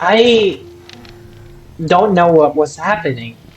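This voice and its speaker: The speech moves at a very slow pace with music in the background. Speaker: vlogger. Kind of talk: casual storytelling monologue. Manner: halting, many fillers and repeats; talkative, loud.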